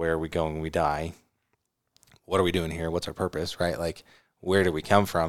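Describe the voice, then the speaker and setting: A man with an American accent and a very deep, low pitch, a fairly quick pace broken by long, frequent pauses, monotone, flat intonation, and a very clean recording with a silent background. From California. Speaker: podcast co-host. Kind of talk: casual chat.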